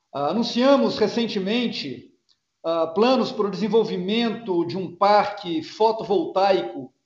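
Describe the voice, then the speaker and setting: With audible room echo around him, a man speaks in a high pitch with ordinary pitch variation. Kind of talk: earnings call presentation and Q&A. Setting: video conference.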